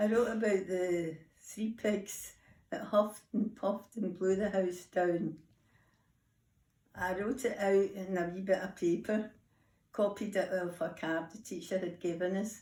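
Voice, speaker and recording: A woman with a Scottish accent speaks at a medium pitch in a dark, mellow tone. She goes at a fairly slow pace with long, frequent pauses. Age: 80s+. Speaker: grandmother interviewed by school children. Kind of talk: interview.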